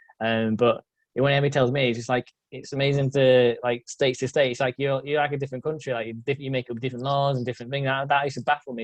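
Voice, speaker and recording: Monotone, flat intonation at a very fast pace, with a dry, close sound and no echo. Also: man, medium pitch for a man. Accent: Yorkshire. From northern England, Yorkshire. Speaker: metal sculptor. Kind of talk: casual interview chat.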